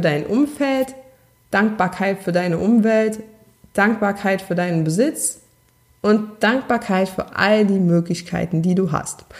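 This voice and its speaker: A woman's medium-pitched voice with lively intonation, a fairly slow pace and a slight Saarland accent. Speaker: podcast host, self-confidence coach. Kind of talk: solo podcast monologue, coaching advice. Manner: warm, conversational.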